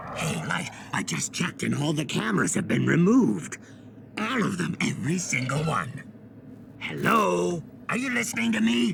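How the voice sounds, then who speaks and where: Over clear background noise, a man performs a cartoonish character voice. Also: moderate pace. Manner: playful, mocking.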